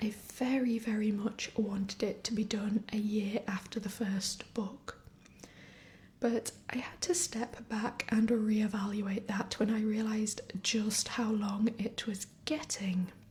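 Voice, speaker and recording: Soft-spoken and calm, a woman with a fairly high pitch talks at a very slow pace with fairly even intonation. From northern England. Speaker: fantasy writer and gamer. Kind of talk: soft-spoken ASMR gaming commentary. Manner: soft-spoken, calm.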